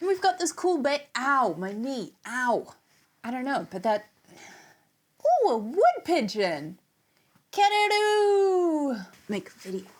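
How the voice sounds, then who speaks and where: A woman with an American accent speaks in a high voice at a very slow pace. Her pitch swings very widely. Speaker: music YouTuber reviewing records. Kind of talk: casual vlog outro and bloopers.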